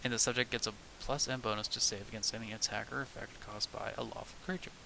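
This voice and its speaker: A man talks at a very fast pace in a medium pitch. Noticeable background noise sits behind him. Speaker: streamer, tabletop game designer. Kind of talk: casual livestream while working. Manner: halting; mumbling.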